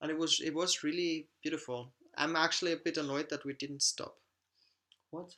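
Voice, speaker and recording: Someone with a German accent talks at a moderate pace with long, frequent pauses. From Austria. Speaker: travel vlogger. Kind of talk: live stream Q&A. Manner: animated.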